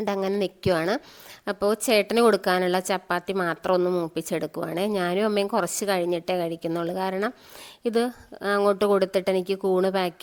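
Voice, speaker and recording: Her intonation is monotone and flat. The woman's pitch sits in the medium range. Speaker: vlogger and mushroom grower. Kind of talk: casual vlog narration.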